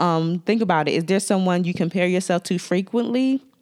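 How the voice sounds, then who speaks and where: A Washington DC accent with ordinary pitch variation on a very clean recording against a silent background. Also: woman. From Washington DC area. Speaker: makeup artist and podcast host. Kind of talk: solo podcast talk with tips. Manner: friendly, conversational.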